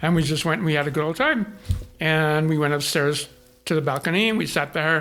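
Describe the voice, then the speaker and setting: This man's voice is fairly high in pitch, with a bright, sharp tone. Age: 60s. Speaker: photographer. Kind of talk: interview storytelling.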